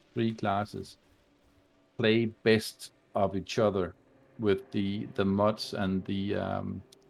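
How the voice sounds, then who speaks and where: With a non-native accent, a man speaks in a monotone, flat way at a fairly low pitch, on a very clean recording with a silent background. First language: not English. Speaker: video game streamer. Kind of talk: casual chat. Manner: halting, many fillers.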